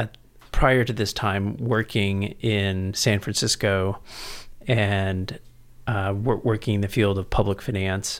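A man's plain, everyday voice with an American accent, fairly low pitch, fairly even intonation and a fairly slow pace, on a very clean recording with a silent background. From San Antonio, Texas. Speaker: education policy researcher, former politician. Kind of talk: interview conversation.

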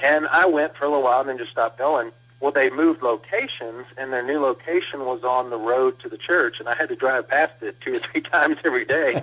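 A man with a Texas accent speaks at a fairly high pitch and a fairly quick pace, with hardly any pauses. His pitch varies in an ordinary way, and noticeable background noise is present. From Texas, Blanco. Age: 40s. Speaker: pastor. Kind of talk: interview. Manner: halting, many fillers and repeats.

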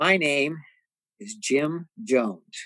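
A man with an American accent talks at a very slow pace and fairly high pitch. The sound is dry and close, with no echo. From San Antonio, Texas (west side). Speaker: podcast co-host. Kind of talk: casual discussion.

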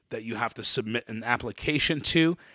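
Bright and sharp in tone, a man with an American accent keeps his intonation fairly even, with a dry, close sound and no echo. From New York. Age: 40s. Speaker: podcast host. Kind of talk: casual chat.

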